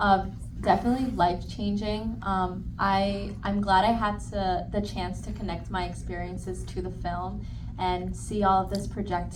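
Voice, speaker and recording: Over noticeable background noise and audible room echo, a woman with an American accent talks at a moderate pace. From Long Island, New York. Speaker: young actor. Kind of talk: festival Q&A panel. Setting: stage with audience.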